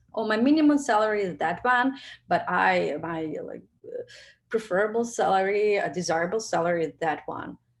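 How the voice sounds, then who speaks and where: A woman speaks with a Russian accent. Her pitch is medium and her pace moderate. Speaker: product manager. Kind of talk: webinar talk with Q&A. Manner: halting, many fillers.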